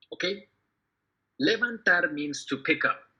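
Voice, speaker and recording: In a raised, projected voice, a man with a high pitch and a bright, sharp tone speaks at a moderate pace with very wide pitch swings. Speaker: Spanish teacher. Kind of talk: tutorial.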